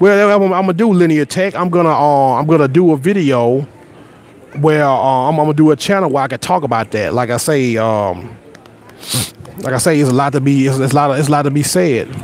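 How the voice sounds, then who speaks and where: A man with an American accent, fairly high pitch, an animated tone and lively intonation at a fairly quick pace, over noticeable background noise. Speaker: YouTuber. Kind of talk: casual live stream chat. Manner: repetitive stammering starts.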